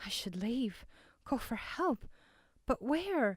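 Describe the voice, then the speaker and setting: Using a put-on character voice, a woman talks at a very slow pace with a high pitch and very wide pitch swings, recorded with a dry, close sound and no echo. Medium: read story.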